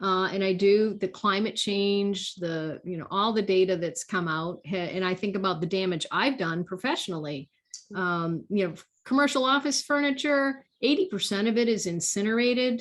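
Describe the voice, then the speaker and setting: At a moderate pace, a woman speaks with a medium pitch and lively intonation. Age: 60s. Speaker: workplace designer and author. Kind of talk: casual interview chat.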